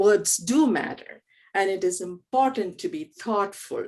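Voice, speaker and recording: With a strong Keralan accent, a woman of medium pitch speaks at a fairly slow pace. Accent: Indian (Malayali) English, strong. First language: Malayalam. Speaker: theology professor. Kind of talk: panel moderation. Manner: halting.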